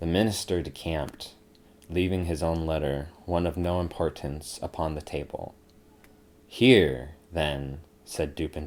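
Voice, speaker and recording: A man speaks at a moderate pace in a very deep, low voice with fairly even intonation. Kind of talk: ASMR sleep story reading. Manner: soft-spoken, relaxing.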